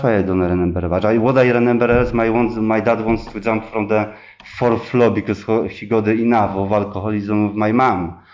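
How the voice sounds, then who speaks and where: A man with a Polish accent speaks at a fairly low pitch with fairly even intonation. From Poland. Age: 30s. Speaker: recovering addict sharing at a meeting. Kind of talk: testimony. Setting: meeting room with audience. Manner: halting, many repetitions and fillers.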